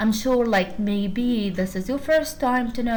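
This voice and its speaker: A woman with an Arabic accent talks at a fairly slow pace with ordinary pitch variation, amid audible room echo and noticeable background noise. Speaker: university lecturer. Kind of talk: lecture.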